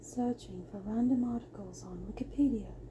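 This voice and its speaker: A soft-spoken woman talks at a moderate pace over noticeable background noise. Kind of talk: ASMR sleep reading.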